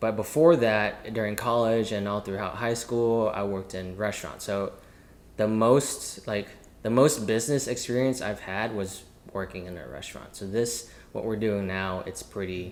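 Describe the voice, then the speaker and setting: With an American accent, a man speaks at a fairly low pitch with ordinary pitch variation and big swings in loudness, and the room echo is audible. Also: moderate pace. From US South. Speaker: chef and entrepreneur. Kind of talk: casual chat.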